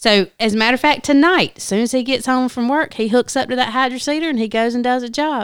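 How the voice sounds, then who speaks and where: A high-pitched woman speaks at a fairly quick pace with a Southern US accent. The recording is very clean, with a silent background. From US South, South Carolina. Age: 40s. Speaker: business owner. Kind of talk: casual chat.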